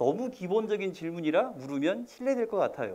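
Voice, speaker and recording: His pitch swinging very widely, a man talks at a fairly quick pace. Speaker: college admissions consultant. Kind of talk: lecture. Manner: fast; slurred diction.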